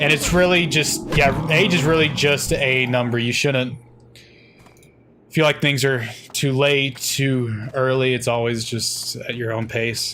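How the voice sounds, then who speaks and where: There is noticeable background noise and audible room echo. A man talks fairly slowly at medium pitch, with ordinary pitch variation. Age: 20s. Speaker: gaming streamer. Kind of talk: live game stream chat. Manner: casual, conversational.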